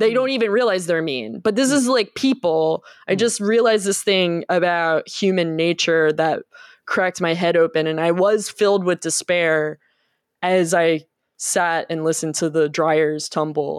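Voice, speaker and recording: At a moderate pace, a woman talks in a fairly low pitch with lively intonation, captured in a very clean recording with a silent background and a dry, close sound with no echo. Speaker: podcast host. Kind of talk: casual banter podcast chat. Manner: joking, animated.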